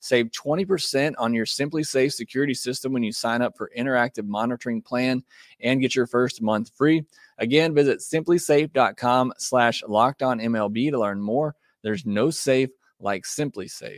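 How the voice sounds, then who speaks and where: A man with an ordinary speaking voice talks at medium pitch and a moderate pace with ordinary pitch variation, recorded dry and close with no echo on a very clean track with a silent background. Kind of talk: infomercial-style host-read ad for a home security system, upbeat sales pitch. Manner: smooth, friendly and persuasive, pitching benefits at a brisk, reassuring pace.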